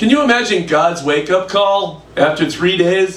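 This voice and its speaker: A man with a high voice speaks at a moderate pace, his intonation lively. The room echoes audibly, and background noise is noticeable. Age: 60s. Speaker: stand-up comedian. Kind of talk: stand-up. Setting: stage with audience.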